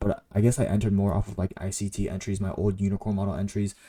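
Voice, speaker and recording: In a very clean recording with a silent background, a man speaks in a shaky, fairly low voice with a dark, mellow tone. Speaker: day trader and video creator. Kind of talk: trade recap tutorial. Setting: home recording in own room. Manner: shaky voice; casual, halting with many fillers.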